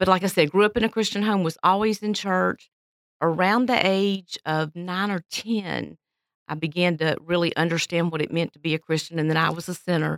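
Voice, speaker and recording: A fairly low-pitched woman with a Southern US accent, fairly even intonation and a moderate pace, in a dry, close sound with no echo. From Florida, Pensacola. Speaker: church pianist and retired music teacher. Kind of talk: casual interview.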